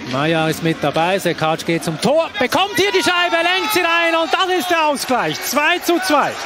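A man talks at a moderate pace with very even loudness and hardly any pauses, over noticeable background noise. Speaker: ice hockey commentator. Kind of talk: live sports commentary over match highlights. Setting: highlights voice-over.

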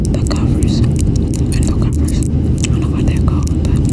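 The woman talks at a fairly slow pace. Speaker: ASMR creator. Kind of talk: ASMR whispered affirmations. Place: plane. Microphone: phone near.

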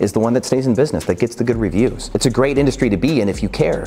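The man talks at a very fast pace with ordinary pitch variation. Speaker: short-term rental host, coach. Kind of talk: commentary. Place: office. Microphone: lapel.

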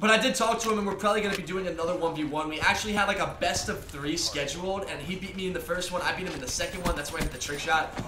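Over noticeable background noise, a high-pitched man races along at a very fast pace with hardly any pauses and ordinary pitch variation. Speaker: YouTuber and professional gamer. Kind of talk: gameplay commentary vlog. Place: home room. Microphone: headset.

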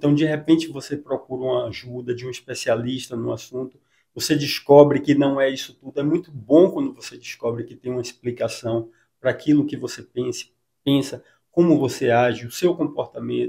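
Against a quiet background, a man speaks in a plain, everyday voice, fairly high in pitch, with fairly even intonation at a fairly quick pace. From Salvador, Bahia, Brazil; Bahia, Brazil. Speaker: psychologist and author; interviewee. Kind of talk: interview. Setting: clinic. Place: office. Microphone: handheld.

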